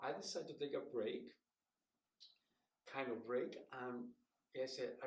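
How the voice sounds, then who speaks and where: Speaking at a fairly slow pace, a man with a Spanish accent uses a medium pitch. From Mexico City. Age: 60s. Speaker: puppeteer and professor. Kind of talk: interview.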